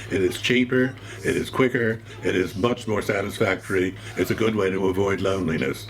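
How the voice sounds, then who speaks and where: With music in the background, a man with an American accent talks at a fairly quick pace with ordinary pitch variation. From New York. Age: 80s+. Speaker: cook. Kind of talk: cookery demonstration.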